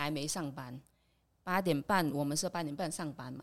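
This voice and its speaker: Set against a silent background in a very clean recording, a woman speaks with a very deep, low pitch. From Vietnam. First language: Vietnamese (speaking Chinese). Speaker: immigrant worker. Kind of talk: casual chat.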